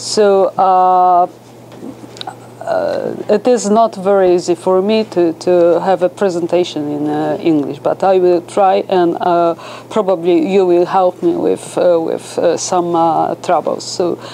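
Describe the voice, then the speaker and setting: With a Polish accent, a woman speaks at a fairly slow pace in fairly even intonation, with noticeable background noise. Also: medium pitch for a woman. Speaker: professor, philologist. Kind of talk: academic lecture. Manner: halting, many fillers.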